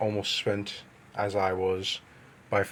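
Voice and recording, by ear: Someone reads aloud here in a natural voice.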